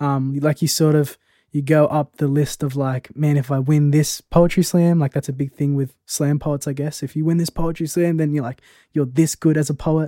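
Recorded with a dry, close sound and no echo, a man with an Australian accent speaks at a moderate pace in a dark, mellow tone, his fairly high pitch held in a monotone, flat intonation. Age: 20s. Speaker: poet. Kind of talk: casual chat.

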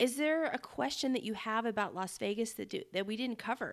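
A woman with an American accent speaks in a normal speaking voice at a moderate pace, her fairly high pitch carried by lively intonation. The recording is very clean, with a silent background. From Northern Nevada. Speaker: podcast co-host. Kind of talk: casual chat.

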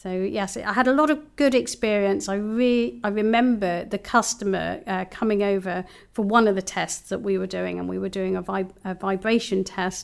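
On a very clean recording with a silent background, a woman in a London accent talks at a moderate pace and medium pitch with ordinary pitch variation. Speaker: systems engineer. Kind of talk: interview. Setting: studio.

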